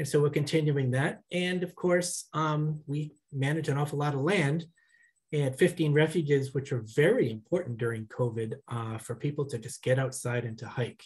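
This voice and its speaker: A somewhat breathy man with a fairly high pitch, ordinary pitch variation, and a moderate pace, over a quiet background. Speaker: executive director of a nonprofit. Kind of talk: welcome remarks. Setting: video call. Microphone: headset.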